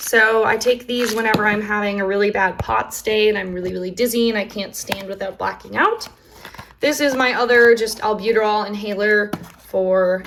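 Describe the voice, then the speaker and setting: A woman talks at a moderate speed with noticeable noise in the background. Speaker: chronic illness vlogger. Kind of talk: casual talk to camera. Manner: hesitant, halting.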